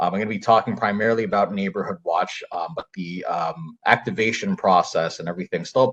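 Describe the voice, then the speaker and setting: Very fast speech comes from a man in a Canadian accent. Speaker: crime prevention program manager. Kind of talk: presentation. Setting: video call.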